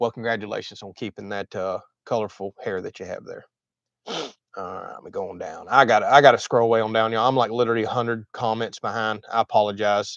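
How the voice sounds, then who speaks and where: Over a quiet background, a man with a Southern US accent speaks at a fairly quick pace in a medium pitch, the sound dry and close with no echo. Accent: US South. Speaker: homesteading YouTuber. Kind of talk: livestream chat reading comments. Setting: livestream. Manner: talkative.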